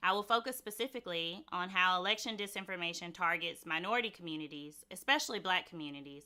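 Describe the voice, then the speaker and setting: In a very clean recording with a silent background, a woman speaks at a fairly quick pace. Her tone is bright and sharp, with a Mississippi accent. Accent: Mississippi Southern. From Mississippi, US South. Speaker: conference speaker, former government security official. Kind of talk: conference talk. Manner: clear, explanatory.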